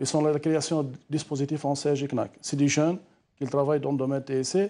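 A man speaks very fast in a fairly high pitch for a man, with a dark, mellow tone and a monotone, flat intonation. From Algeria. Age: young. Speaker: business association representative; TV guest. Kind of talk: live TV panel debate. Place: studio. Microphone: lapel.

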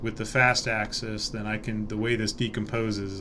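Light background noise under a man talking. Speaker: university lecturer. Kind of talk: lecture. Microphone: webcam.

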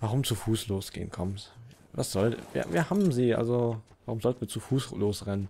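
A man's dark, mellow voice at medium pitch, moderate pace and ordinary pitch variation, on a very clean recording with a silent background. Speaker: gaming video creator. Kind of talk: let's play commentary. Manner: hesitant, many fillers. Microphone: new mic without pop filter.

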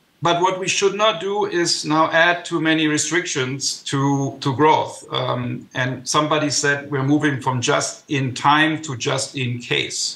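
In a room with audible echo, a man speaks at a very slow pace in a fairly high pitch with ordinary pitch variation. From Germany. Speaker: economist and former government adviser; remote panellist. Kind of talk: panel discussion. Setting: video call. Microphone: video call.

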